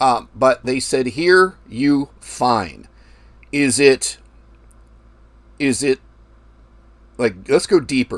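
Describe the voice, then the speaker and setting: Long, frequent pauses break up very slow speech, recorded with a dry, close sound and no echo. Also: man, medium pitch for a man, ordinary pitch variation. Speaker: forex trading livestream host. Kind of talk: live stream chat with viewers. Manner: trails off at ends of sentences; deliberately loud. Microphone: new microphone setup.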